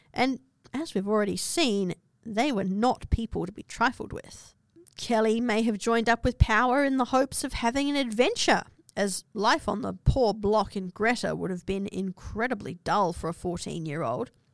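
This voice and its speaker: Recorded very cleanly against a silent background, a woman speaks with an Australian accent at a fairly high pitch. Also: ordinary pitch variation, moderate pace. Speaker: podcast host and history presenter. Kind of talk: history documentary narration, scripted storytelling. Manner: measured, dramatic, storytelling tone with dry asides.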